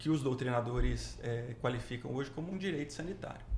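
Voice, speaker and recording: In a Minas Gerais accent, a man speaks at a medium pitch with audible room echo. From Minas Gerais, Brazil. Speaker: public prosecutor. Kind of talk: podcast interview. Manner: halting, many fillers.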